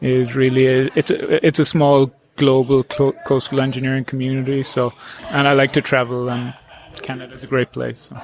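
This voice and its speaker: A man with an Irish accent talks at medium pitch in a monotone, flat intonation. The sound is dry and close with no echo, and music plays in the background. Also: moderate pace. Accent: Irish accent, noticeable. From Ireland, Cork. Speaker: coastal engineer. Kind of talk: interview. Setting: at a workshop. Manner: halting, many fillers and restarts.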